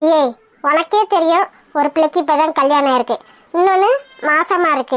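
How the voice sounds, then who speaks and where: In a cartoonish character voice with an extremely high pitch, a woman speaks at a moderate pace with a dry, close sound with no echo. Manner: loud, scolding.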